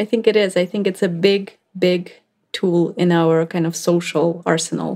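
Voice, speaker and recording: A woman's fairly low voice in a Russian accent, dark and mellow in tone, on a very clean recording against a silent background. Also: fairly even intonation, moderate pace. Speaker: neuroscientist. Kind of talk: interview.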